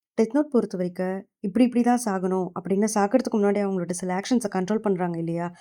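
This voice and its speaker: In a very clean recording with a silent background, a woman's medium-pitched voice carries a dark, mellow tone and ordinary pitch variation. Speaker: anime recap voice-over narrator. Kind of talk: casual anime story retelling.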